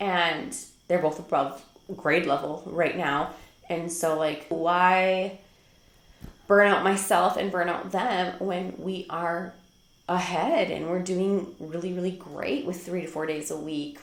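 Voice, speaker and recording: Amid audible room echo, a woman with an American accent talks at a very slow pace with fairly even intonation. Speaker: homeschool vlogger. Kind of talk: casual talk to camera. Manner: chatty, many fillers.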